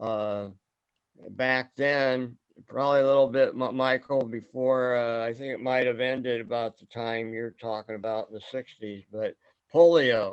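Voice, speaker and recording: With a Midwestern American accent, a man speaks at a fairly slow pace. His medium pitch holds a fairly even intonation. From US Midwest, Fort Wayne, Indiana. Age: 70s. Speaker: forum host. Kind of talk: casual group discussion. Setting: video call.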